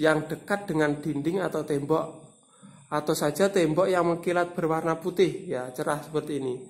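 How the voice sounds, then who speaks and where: The speaker has a Javanese accent. The pace is moderate. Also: man. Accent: Javanese-accented Indonesian. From East Java, Tulungagung; East Java. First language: Javanese (speaking Indonesian). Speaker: bird seller and bird-care youtuber; bird seller, bird-care youtuber. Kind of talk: tutorial. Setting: room with bird cages. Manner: halting, many fillers. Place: home room. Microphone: phone near.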